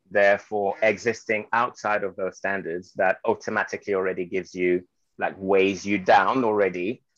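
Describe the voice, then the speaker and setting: A man in a French accent, fairly low in pitch, with monotone, flat intonation at a moderate pace over a quiet background. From Guadeloupe, then mainland France. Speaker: anti-racism trainer and model. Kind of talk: interview.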